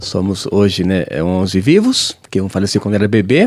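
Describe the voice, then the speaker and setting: A man talks with lively intonation at a moderate pace while noticeable background noise runs behind him. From southern Brazil, Paraná (Londrina); born Pernambuco. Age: 40s. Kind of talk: interview testimony.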